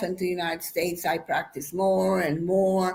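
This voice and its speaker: A woman at a moderate pace with an American accent. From Mexico. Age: 60s. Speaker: professional bodybuilder. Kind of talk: interview. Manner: halting.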